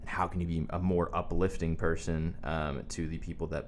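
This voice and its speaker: With an American accent, a man speaks at a moderate pace in a very deep, low pitch with vocal fry and fairly even intonation, and room echo is audible. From US South, Wilmington. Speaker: pastor's son, musician. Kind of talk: casual chat.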